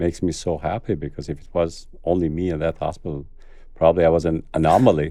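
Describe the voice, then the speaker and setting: A man's very deep, low voice in a dark, mellow tone with an Albanian accent, very fast and fairly even in intonation. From Kosovo. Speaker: cardiologist. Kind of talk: interview.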